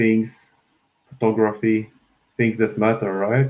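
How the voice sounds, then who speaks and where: A man's medium-pitched voice with a Polish accent at a fairly slow pace. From Poland. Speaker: miniature painter streamer. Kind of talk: live painting tutorial stream. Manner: casual, conversational.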